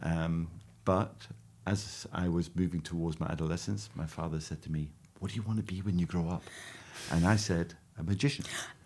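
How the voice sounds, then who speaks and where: Over a very clean recording with a silent background, a man with a very deep, low voice speaks at a fairly quick pace, broken by long, frequent pauses. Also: ordinary pitch variation. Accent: Scottish. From Scotland. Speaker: magician. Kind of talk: interview.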